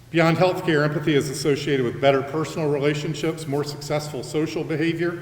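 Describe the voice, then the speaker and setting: A man with a fairly high voice races along at a very fast pace in a flat monotone with hardly any pauses, amid audible room echo and noticeable background noise. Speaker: college president. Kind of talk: convocation address. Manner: loud.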